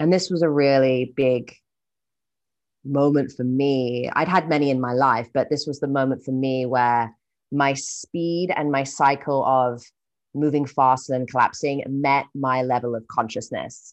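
A woman with a British accent speaks in a very deep, low voice. Her pace is fairly slow and her intonation fairly even, against a quiet background. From UK. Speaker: entrepreneur and writer. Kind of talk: casual interview. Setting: video call.

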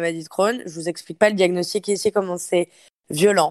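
Here a woman speaks at a very fast pace and medium pitch, with fairly even intonation. The recording is very clean and dry, close with no echo, against a silent background. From France. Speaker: fitness coach. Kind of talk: casual interview.

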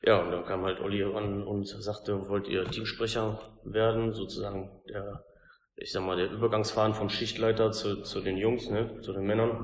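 A man with a fairly low pitch talks at a moderate pace in a monotone, flat delivery. His voice is somewhat breathy, and audible room echo surrounds it. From Lower Rhine, Germany (Kamp-Lintfort). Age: 30s. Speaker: assembly worker and team spokesperson. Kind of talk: interview.

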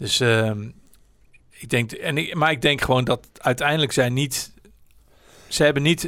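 Fairly high in pitch with a bright, sharp tone, a man talks at a fairly slow pace with long, frequent pauses and big swings in loudness. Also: ordinary pitch variation. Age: 60s. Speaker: podcaster and marketer. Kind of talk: casual chat. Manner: halting, many fillers and restarts.

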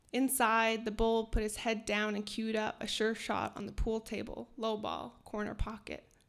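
In a Canadian accent, a woman talks in a monotone, flat intonation with hardly any pauses. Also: fairly high pitch for a woman, moderate pace. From northern Alberta, Canada (Cree). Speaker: writer and editor. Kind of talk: storytelling reading. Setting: stage with audience.

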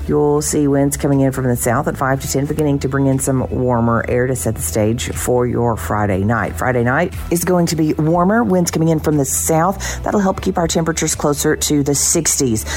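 Against noticeable background noise, a woman with a very deep, low pitch speaks at a moderate pace in an upbeat tone, her pitch swinging very widely while her loudness stays very even and she hardly pauses. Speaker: meteorologist. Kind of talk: weather forecast. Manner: bright, steady, upbeat.

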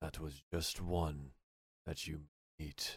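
A man uses a put-on character voice. His pitch is very deep and low. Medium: actual play. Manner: evasive, smooth, secretive.

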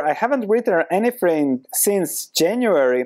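In a Croatian accent, a man with a high pitch speaks at a fairly slow pace with very wide pitch swings. The recording is very clean, with a silent background. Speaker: podcast host and investor. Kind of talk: monologue, video/podcast talk on investing. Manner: motivational, earnest.

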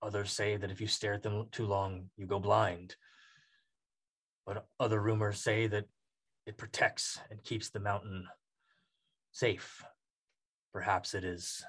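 A man puts on a raspy character voice at a fairly low pitch with monotone, flat intonation. He keeps a moderate pace, with long, frequent pauses. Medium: actual play. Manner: terse, measured.

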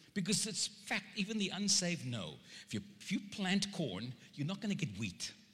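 A man with a South African accent speaks in a high pitch, his bright, sharp tone swinging very widely up and down. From South Africa (Cape Town). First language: Afrikaans. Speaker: preacher. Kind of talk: sermon. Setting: church. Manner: animated.

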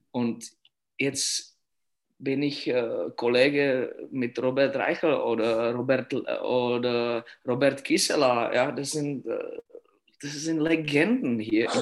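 A man's fairly high voice with a Czech accent, very slow pace and fairly even intonation. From Czech Republic (Litvinov). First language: Czech (speaking German). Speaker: youth ice hockey coach. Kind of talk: interview. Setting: at home. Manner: halting.

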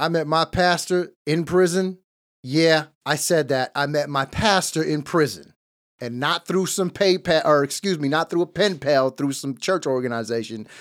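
Using a normal speaking voice, a man talks at a moderate pace with a fairly high pitch and ordinary pitch variation. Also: very clean recording, silent background. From East Los Angeles, California. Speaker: podcast host, formerly incarcerated. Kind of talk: casual chat with ministry talk. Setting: studio.

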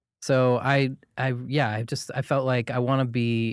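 On a very clean recording with a silent background, a man speaks at a fairly slow pace with monotone, flat intonation. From Maine (Portland). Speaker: comedian. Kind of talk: casual chat. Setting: studio.

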